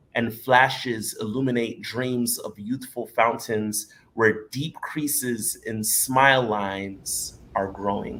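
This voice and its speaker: A man with a bright, sharp tone speaks at a very slow pace with hardly any pauses. His medium pitch shows ordinary pitch variation. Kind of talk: poetry reading.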